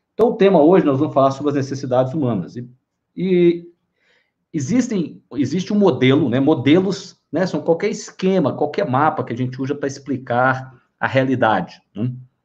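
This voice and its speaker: Lively intonation marks a man's fairly high, somewhat breathy voice. He speaks at a moderate pace. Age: 50s. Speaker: live-stream host on psychology and wellbeing. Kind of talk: casual live-stream talk.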